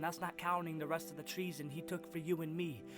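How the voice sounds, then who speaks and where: Music plays in the background while a man with a fairly high pitch talks at a fairly quick pace with ordinary pitch variation. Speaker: spoken word poet. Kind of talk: spoken word poetry.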